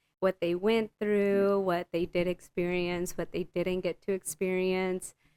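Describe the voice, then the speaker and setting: A woman with a Spanish accent at medium pitch, fairly slow, monotone and flat in intonation, very even in loudness, with a dry, close sound and no echo. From Southern Illinois, US. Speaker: podcast guest. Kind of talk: casual chat.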